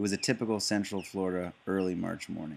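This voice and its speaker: Using an unremarkable speaking voice, a man talks at a fairly quick pace with fairly low pitch and fairly even intonation. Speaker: author. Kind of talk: first-person true story narration.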